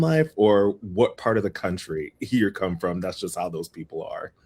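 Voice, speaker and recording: A man with an American accent speaks at a moderate pace and a fairly low pitch. His pitch swings very widely. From US Midwest, Toledo, Ohio. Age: 30s. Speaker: podcast guest. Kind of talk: casual interview.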